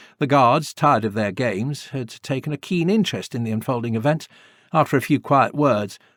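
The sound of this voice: A reading voice, unforced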